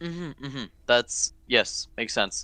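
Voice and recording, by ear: Lively intonation and a bright, sharp tone come through at a slow pace. The recording is very clean, with a silent background.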